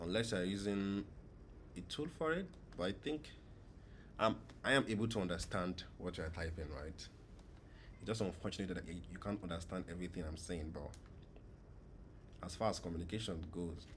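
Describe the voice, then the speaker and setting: A man's very deep, low voice, somewhat breathy, with long, frequent pauses. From Nigeria. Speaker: gaming streamer. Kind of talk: live gameplay stream chat. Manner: casual, conversational.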